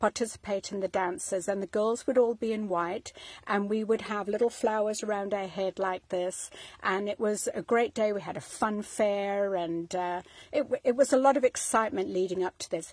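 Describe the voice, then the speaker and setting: A woman talks at a moderate pace, the sound dry with no echo and the background quiet. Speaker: home vlogger. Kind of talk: casual vlog chat. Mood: warm, nostalgic. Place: home room. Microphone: phone near.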